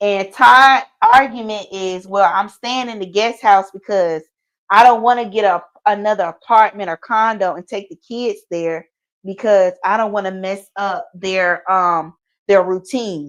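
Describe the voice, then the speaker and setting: In an animated tone, a woman speaks at a fairly slow pace and medium pitch, with ordinary pitch variation and big swings in loudness. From US South, Atlanta, Georgia. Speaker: YouTube talk show co-host. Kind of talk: casual live-stream chat.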